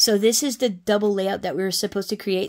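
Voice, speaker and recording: On a very clean recording with a silent background, a woman with an American accent keeps her intonation fairly even. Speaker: crafting YouTuber. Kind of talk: casual show-and-tell vlog. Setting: home craft room. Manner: casual, many fillers and restarts.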